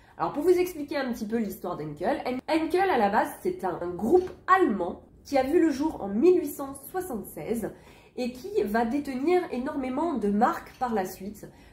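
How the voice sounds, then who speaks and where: In a room with audible echo and noticeable background noise, a woman with a high pitch speaks at a moderate pace, her pitch swinging very widely. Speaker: vintage haul vlogger. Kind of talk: casual video haul presentation. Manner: hesitant with frequent fillers.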